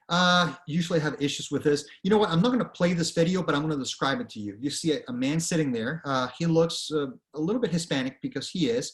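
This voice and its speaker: A man with a fairly high pitch speaks at a very fast pace with hardly any pauses. His intonation is lively. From Venezuela. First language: Spanish. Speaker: author and career speaker. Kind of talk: presentation. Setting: online presentation with screen share. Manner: conversational, frequent fillers.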